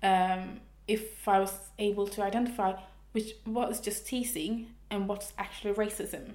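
A woman with a Swedish accent talks at a moderate pace, her medium pitch delivered in a monotone, flat intonation. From Sweden, Stockholm. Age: 20s. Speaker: fashion graduate, interviewee. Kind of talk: interview.

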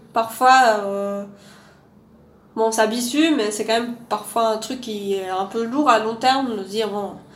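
A woman with a fairly high voice speaks very slowly, with long, frequent pauses and fairly even intonation. Audible room echo surrounds her voice. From Belgium, Louvain-la-Neuve. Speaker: archaeologist. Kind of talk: casual interview.

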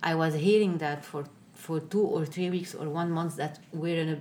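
Someone with an Arabic accent speaks at a moderate pace in a monotone, flat intonation, with audible room echo. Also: woman. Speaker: newspaper editor and former politician. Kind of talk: interview. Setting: office. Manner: halting.

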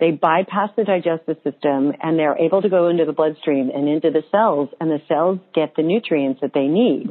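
With an unremarkable speaking voice, a woman talks at a fairly low pitch with ordinary pitch variation, very even loudness and hardly any pauses. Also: moderate pace. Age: 50s. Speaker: holistic nutritionist and author. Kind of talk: interview.

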